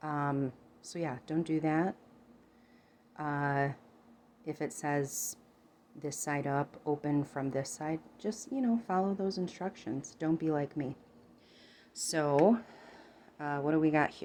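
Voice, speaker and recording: Soft-spoken, a woman talks at a very slow pace with long, frequent pauses, in a very deep, low pitch and a dark, mellow tone. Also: ordinary pitch variation. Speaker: ASMR content creator. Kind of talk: soft-spoken ASMR tutorial. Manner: halting.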